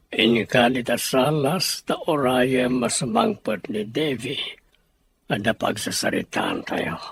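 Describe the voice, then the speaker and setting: A man puts on a character voice at a medium pitch, speaking very slowly. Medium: audio drama. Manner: curt, demanding.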